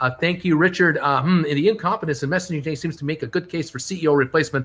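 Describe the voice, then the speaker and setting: The recording is very clean, with a silent background. The pace is fairly quick. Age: 60s. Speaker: stock market livestreamer. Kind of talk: live stream market commentary. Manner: animated ranting.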